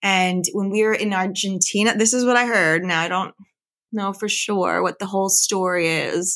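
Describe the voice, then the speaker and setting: Using a normal speaking voice, a woman keeps a medium pitch and fairly even intonation at a moderate pace. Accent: American. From Philadelphia area, US. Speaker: podcast guest. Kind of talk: casual interview.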